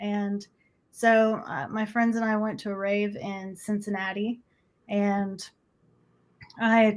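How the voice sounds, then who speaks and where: A woman speaks with a Midwestern accent. The recording is very clean with a silent background. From US Midwest (Nebraska). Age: 40s. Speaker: energy healer. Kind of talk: interview testimony.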